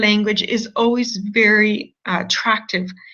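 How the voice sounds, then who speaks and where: Speaking in a fairly high register, a woman talks with a non-native accent. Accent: non-French, foreign accent noted by herself. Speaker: university admissions representative. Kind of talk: online information session presentation. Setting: online video broadcast with screen share.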